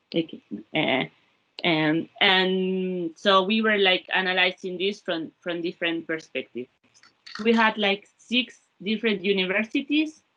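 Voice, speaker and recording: A woman with a Spanish accent talks at a fairly slow pace, her intonation lively. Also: medium pitch for a woman. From Spain. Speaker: former research fellow, labor economist. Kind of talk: panel talk about experience. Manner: halting, many repetitions.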